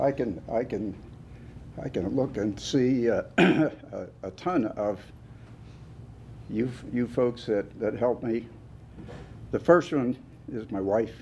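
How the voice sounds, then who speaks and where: With a western Pennsylvania accent, a man speaks at a very slow pace in a medium pitch, using ordinary pitch variation and long, frequent pauses. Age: 80s+. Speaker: award recipient, construction businessman. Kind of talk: acceptance speech. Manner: halting.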